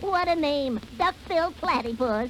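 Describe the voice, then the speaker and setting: A put-on character voice, high-pitched, at a moderate pace over clear background noise. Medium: read story. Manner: chuckling, upbeat.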